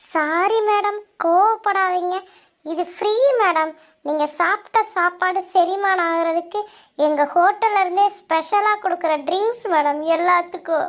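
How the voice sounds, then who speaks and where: In a cartoonish character voice, a woman speaks at an extremely high pitch and a very slow pace. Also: fairly even intonation, quiet background. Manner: obsequious, says madam constantly.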